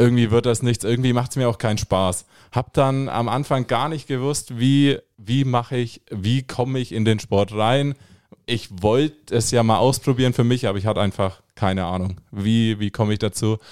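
On a very clean recording with a silent background, a man has an unremarkable speaking voice, with a medium pitch, fairly even intonation, and a moderate pace. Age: 20s. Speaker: triathlon beginner, amateur athlete. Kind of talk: casual interview. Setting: studio.

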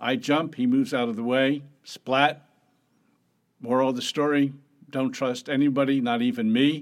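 A man's plain, everyday voice, fairly high in pitch, with fairly even intonation and a moderate pace. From US Northeast, Atlantic City, New Jersey. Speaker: venture capitalist. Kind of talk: interview.

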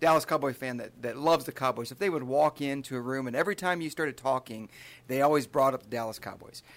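A man with a Midwestern American accent speaks very fast. His pitch is medium, with ordinary variation. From Michigan (Charlotte, near Lansing). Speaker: state highway patrol trooper. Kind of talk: casual interview. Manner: animated.

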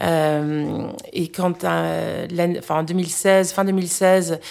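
A very clean recording with a silent background carries speech with fairly even intonation. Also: woman. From United States. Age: 40s. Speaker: food blogger. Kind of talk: casual chat. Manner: halting.

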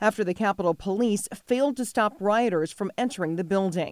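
On a very clean recording with a silent background, a woman with an unremarkable speaking voice talks at a fairly quick pace. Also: dry, close sound with no echo. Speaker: news anchor. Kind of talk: news reading, brisk scripted local TV news bulletin. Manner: formal, crisp and steady; even-paced, authoritative delivery.

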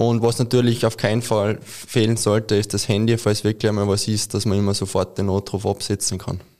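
Speaking with a Carinthian accent, a man with a fairly low pitch goes at a fairly quick pace, hardly pausing, in monotone, flat intonation. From Austria, Carinthia. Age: 20s. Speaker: ski mountaineering athlete. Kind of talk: interview.

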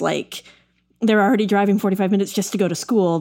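A woman's medium-pitched voice with a dark, mellow tone, in a very clean recording with a silent background. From Texas. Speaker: podcast host, tech editor. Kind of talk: casual chat.

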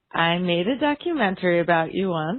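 Here is an ordinary speaking voice with an American accent. The pace is moderate. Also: woman. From US. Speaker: documentary filmmaker. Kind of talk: interview.

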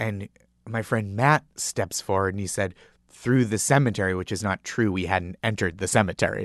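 A man with an American accent talks at a fairly quick pace in a fairly low pitch with ordinary variation. The sound is dry and close with no echo, over a quiet background. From Massachusetts, north of Boston. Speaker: comedy writer and comedian. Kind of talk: storytelling interview. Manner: animated, laughing.

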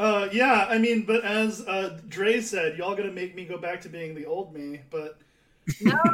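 A man with an American accent speaks at a high pitch for a man. His loudness swings widely over noticeable background noise. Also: ordinary pitch variation, moderate pace. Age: 30s. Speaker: podcast host. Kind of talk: casual chat.

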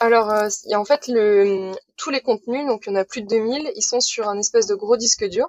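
A woman with an ordinary speaking voice, fairly high in pitch, speaks at a moderate pace with fairly even intonation. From Brittany, Saint-Malo. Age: 20s. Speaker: sailor running a library sailboat project. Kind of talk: casual interview.

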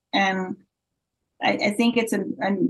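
The voice is somewhat breathy, with an American accent. Its intonation is lively. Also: woman. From Florida, US. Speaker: breakdancer and commentator. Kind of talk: interview.

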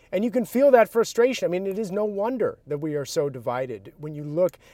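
A man with an ordinary speaking voice talks at a moderate pace with lively intonation. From outside Massachusetts. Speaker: political reporter. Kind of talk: casual political discussion.

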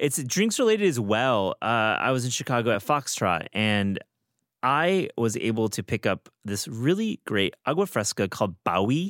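On a very clean recording with a silent background and a dry, close sound with no echo, a man with a Midwestern accent swings his pitch very widely. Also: medium pitch for a man, moderate pace. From US Midwest, Michigan. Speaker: podcast host. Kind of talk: casual chat.

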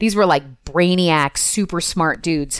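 This woman has an ordinary speaking voice at a medium pitch, with ordinary pitch variation and a moderate pace. The recording is very clean and the background silent. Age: 40s. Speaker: intuitive coach and entrepreneur. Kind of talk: casual interview chat.

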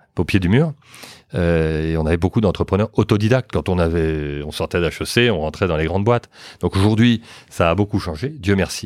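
A man talks at a moderate pace with a very deep, low pitch. The recording is very clean, with a silent background. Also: ordinary pitch variation, dry, close sound with no echo. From France. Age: 50s. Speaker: entrepreneur, former banker. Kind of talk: interview.

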